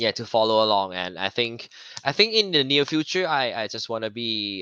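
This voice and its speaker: A man's fairly low, bright, sharp voice with a Thai accent, dry and close with no echo, over a quiet background. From Thailand, Bangkok. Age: 30s. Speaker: actor and TV host. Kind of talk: casual interview chat. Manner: halting, many repetitions and fillers.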